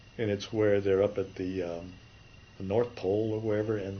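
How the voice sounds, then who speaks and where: The voice is somewhat breathy. The speaker has an American accent. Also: man. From California. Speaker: retired animation artist. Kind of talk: interview. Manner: halting.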